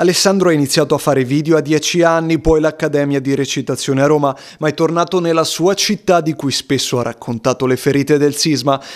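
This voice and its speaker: A man talks very fast at a fairly high pitch, his intonation fairly even and his loudness very even. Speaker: TV news reporter. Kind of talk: TV news report narration.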